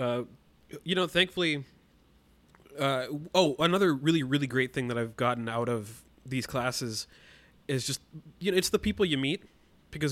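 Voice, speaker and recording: Over a silent background in a very clean recording, a man speaks at a fairly quick pace with ordinary pitch variation. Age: 20s. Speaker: musician and podcast editor. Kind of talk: casual interview.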